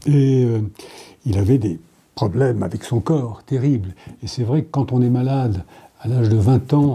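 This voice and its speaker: A man's somewhat breathy voice, dark and mellow in tone, at medium pitch with ordinary pitch variation, a fairly slow pace, and long, frequent pauses. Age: 70s. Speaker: novelist. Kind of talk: interview. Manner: hesitant, many fillers.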